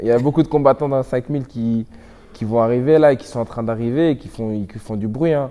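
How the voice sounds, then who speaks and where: A man speaks at a fairly quick pace. His voice sits at a medium pitch with a dark, mellow tone. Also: big swings in loudness. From Belgium. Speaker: MMA fighter. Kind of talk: interview. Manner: animated.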